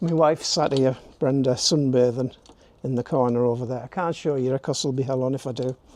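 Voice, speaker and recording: Speaking fairly quickly, a man with a northern English accent holds a medium pitch and fairly even intonation. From northern England. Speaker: YouTube DIY presenter. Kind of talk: tutorial. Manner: casual, chatty.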